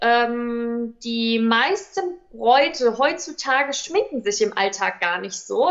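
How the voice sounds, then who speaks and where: A woman speaks with a high pitch. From Hesse, Offenbach district. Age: 20s. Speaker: bridal stylist and makeup artist. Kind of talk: podcast interview.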